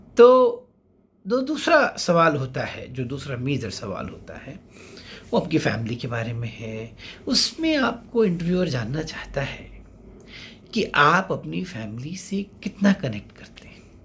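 A man speaks very slowly in a fairly high pitch, with very wide pitch swings and big swings in loudness. Light background noise is present. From India. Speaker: SSB interview coach. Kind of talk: monologue tutorial. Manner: code-switching Hindi-English. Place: home room. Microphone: phone near.

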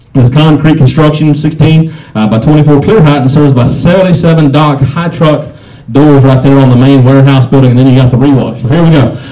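Against a quiet background, a man in an ordinary speaking voice talks fairly quickly at a fairly high pitch with fairly even intonation. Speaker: auctioneer. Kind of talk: reading a property listing aloud before the sale. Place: hall. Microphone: pa.

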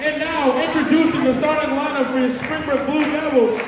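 Crowd noise sits behind a man speaking, with audible room echo. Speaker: gym announcer. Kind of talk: lineup announcement. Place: hall. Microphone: pa.

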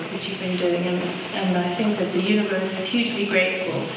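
A woman is speaking in a room with strong echo. Noticeable background noise is also present. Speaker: event host. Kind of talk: welcome speech introducing guests. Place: hall. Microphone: camera far.

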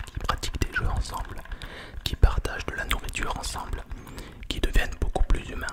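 Someone whispers at a fairly quick pace. Loud noise fills the background. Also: man. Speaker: ASMR creator. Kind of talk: soft ASMR talk to viewers. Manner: close-mic French whisper. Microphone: studio mic.

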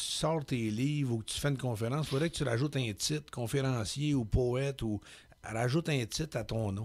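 A man speaks at a moderate pace. His pitch is medium, with ordinary pitch variation. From Quebec, Laurentians countryside; Quebec. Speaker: poet and public speaker; poet, public speaker. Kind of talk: radio interview. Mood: calm, reflective, candid. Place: studio. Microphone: studio mic.

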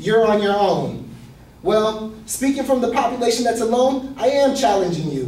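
A man's high-pitched speech carries audible room echo. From Ecuadorian heritage. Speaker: student; presenter. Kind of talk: class speech. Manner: passionate. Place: classroom. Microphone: camera far.

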